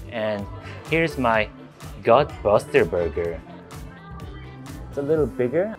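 With a strong Korean accent, a man talks at a moderate pace with lively intonation as music plays clearly in the background. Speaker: food vlogger. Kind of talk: casual, comedic. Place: cafe. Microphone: phone near.

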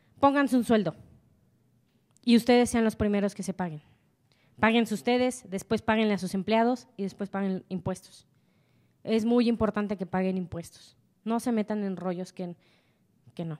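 Against a quiet background, a woman talks at a moderate pace with ordinary pitch variation and long, frequent pauses. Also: medium pitch for a woman. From Mexico. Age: 20s. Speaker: entrepreneur; speaker. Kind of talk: motivational talk. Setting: stage with audience. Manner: animated. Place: hall. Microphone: handheld.

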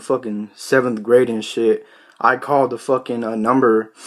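A man with monotone, flat intonation against a quiet background. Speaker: vlogger. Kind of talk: casual vlog chat. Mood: joking, amused storytelling. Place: home room. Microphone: phone near.

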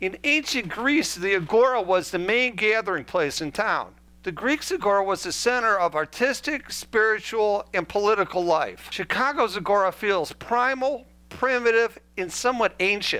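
A man speaks in a raised, projected voice with a bright, sharp tone. His intonation is lively and his pace moderate. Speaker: art tour narrator. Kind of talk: scripted narration. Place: home room. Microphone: headset.

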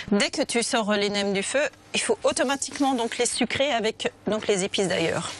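A woman speaks in an ordinary speaking voice at a moderate pace, her fairly high pitch showing ordinary variation and her loudness staying very even, all in a dry sound with no echo. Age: 40s. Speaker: restaurant owner and cook. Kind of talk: cooking demonstration. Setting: restaurant kitchen. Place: kitchen.

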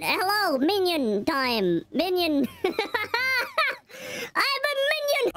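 A put-on character voice speaks at a very slow pace in an extremely high pitch with very wide pitch swings. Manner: playful, gibberish-tinged.

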